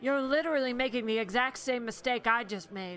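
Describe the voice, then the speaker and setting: A female-sounding, put-on character voice with a high pitch moves at a fairly quick pace over clear background noise. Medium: audio drama. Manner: smooth, insinuating.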